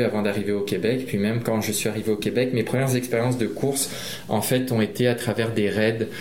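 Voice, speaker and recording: Over noticeable background noise and audible room echo, a man speaks fairly quickly at a medium pitch with fairly even intonation. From Réunion. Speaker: trail runner. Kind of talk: interview. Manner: halting, with repeated words.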